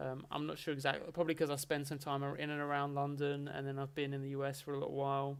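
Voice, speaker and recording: Delivered at a very fast pace with hardly any pauses, the speech is monotone and flat, in an Essex accent. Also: man, fairly high pitch for a man. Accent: mild Essex. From England, Essex. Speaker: streamer. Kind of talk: casual chat. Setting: livestream.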